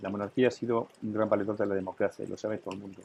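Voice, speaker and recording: A man talks at a very fast pace. His voice is fairly low, with a dark, mellow tone. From Catalonia, Spain. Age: 70s. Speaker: businessman. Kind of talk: interview. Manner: animated.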